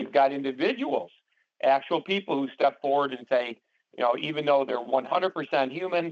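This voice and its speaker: This man talks at a fairly quick pace, with a fairly high pitch, ordinary pitch variation and an ordinary speaking voice. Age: 60s. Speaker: paranormal society co-founder and call host. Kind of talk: interview on conference call. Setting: conference call. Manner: many fillers and repetitions.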